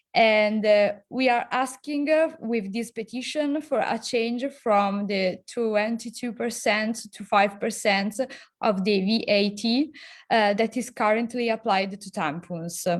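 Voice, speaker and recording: A woman's fairly high voice, very slow pace, ordinary pitch variation. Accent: Italian. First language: Italian. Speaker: association founder, activist. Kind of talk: online panel discussion. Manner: halting.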